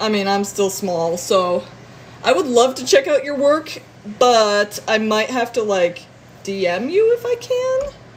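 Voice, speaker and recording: A woman with an American accent, fairly high in pitch, fairly slow, animated in tone with lively intonation. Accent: northern long O's with slight southern twang. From northern US. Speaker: streamer. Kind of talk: casual live stream chat. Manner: animated, lots of noises.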